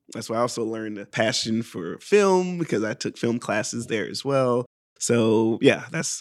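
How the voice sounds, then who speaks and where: In an ordinary speaking voice, a man with a medium pitch and lively intonation speaks at a moderate pace on a very clean recording with a silent background. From US South, Augusta, Georgia. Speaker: improv performer. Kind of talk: casual chat. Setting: studio.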